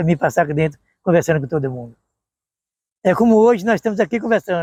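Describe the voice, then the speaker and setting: This man's voice is high-pitched and very fast, with a dry, close sound and no echo. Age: 70s. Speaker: retired university staff member. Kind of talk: oral history interview.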